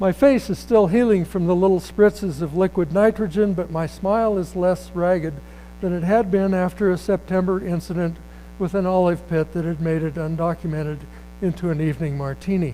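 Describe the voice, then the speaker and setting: A man's high-pitched voice with a dark, mellow tone at a fairly quick pace. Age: 70s. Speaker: writer. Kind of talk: reading aloud; casual chat. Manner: halting.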